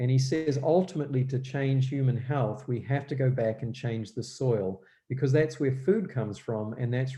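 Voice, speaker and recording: Against a quiet background, a man with a New Zealand accent speaks in a dark, mellow, somewhat breathy tone with ordinary pitch variation. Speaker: guest speaker on health and gardening. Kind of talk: church presentation. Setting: live-streamed church event. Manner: hesitant, many fillers.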